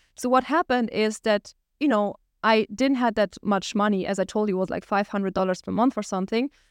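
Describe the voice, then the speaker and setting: A woman with a German accent and a fairly high pitch talks at a very fast pace with ordinary pitch variation, her sound dry and close with no echo against a quiet background. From Germany, small village. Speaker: entrepreneur and podcast host. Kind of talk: solo monologue, personal story.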